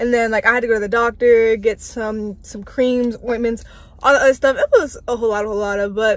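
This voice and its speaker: A woman with an American accent talks at a fairly quick pace in a fairly high pitch. Her intonation is monotone and flat, and the sound is dry with no echo. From Washington DC metro area. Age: young. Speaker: college student; vlogger. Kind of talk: casual vlog talk to camera. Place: car. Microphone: phone near.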